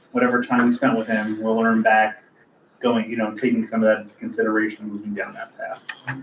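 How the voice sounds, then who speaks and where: Here is a man with a plain, everyday voice. He talks at a fairly quick pace with fairly even intonation. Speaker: land bank staff member reporting to board. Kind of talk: board meeting project update. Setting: board meeting, livestreamed.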